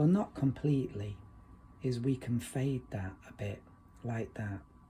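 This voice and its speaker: At a fairly slow pace, a man talks in a relaxed, dark and mellow tone, somewhat breathy, at medium pitch with ordinary pitch variation. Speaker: watercolor painting teacher. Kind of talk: tutorial. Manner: relaxed, conversational.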